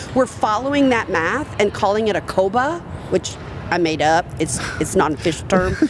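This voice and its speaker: Against noticeable background noise, a woman with an American accent and a fairly high pitch talks at a fairly quick pace in an animated tone with lively intonation. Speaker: industry speaker and consultant. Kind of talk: live podcast interview. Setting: live recording at a conference.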